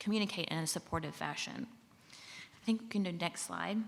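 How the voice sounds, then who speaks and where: A woman is speaking. She has a Southern US accent. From Mississippi, US South. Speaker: government civil rights official. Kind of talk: conference presentation. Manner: casual, with frequent fillers.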